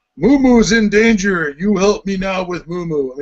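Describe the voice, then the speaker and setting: A man uses a put-on character voice at a high pitch. He speaks at a moderate pace with ordinary pitch variation. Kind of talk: broken, simple grammar. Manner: primitive, simple-minded.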